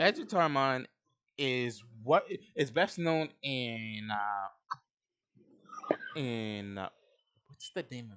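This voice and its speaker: Very slowly and with long, frequent pauses, a man speaks at medium pitch with lively intonation. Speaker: card game deck reviewer. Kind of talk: casual chat. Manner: halting.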